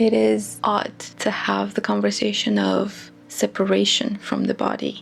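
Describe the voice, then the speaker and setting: Over noticeable background noise, a woman speaks with a non-native accent. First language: not English. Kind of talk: reflective talk to camera. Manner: slow-paced.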